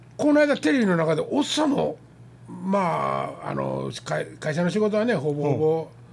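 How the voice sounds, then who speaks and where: A man speaks at a fairly slow pace with a Kansai accent. Noticeable background noise is present. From Kansai, Japan. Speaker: podcast host. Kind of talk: casual chat.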